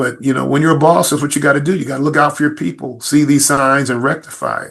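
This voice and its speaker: The speaker talks very fast in an American accent with fairly even intonation. Vocal fry runs through the voice. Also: man, fairly high pitch for a man. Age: 60s. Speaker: police chief. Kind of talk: podcast interview.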